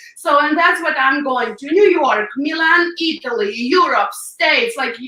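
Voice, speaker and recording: In a Ukrainian accent, a raised, projected voice moves at a fairly slow pace with lively intonation, with audible room echo and noticeable background noise. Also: woman, high pitch for a woman. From Ukraine. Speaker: hairdresser and public speaker. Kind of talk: interview. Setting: live video show.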